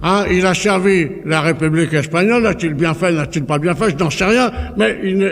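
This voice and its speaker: A man is speaking, and noticeable background noise can be heard behind him. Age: 80s+. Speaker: political speaker. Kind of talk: public speech. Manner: halting, repeats words.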